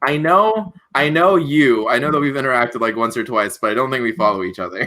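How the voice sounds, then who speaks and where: A man's bright, sharp voice at a very fast pace, with very wide pitch swings. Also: medium pitch for a man. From Latin America (Puerto Rican, raised in Honduras, Panama, Colombia). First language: Spanish. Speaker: panel guest, YouTuber. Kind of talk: casual chat. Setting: live stream panel.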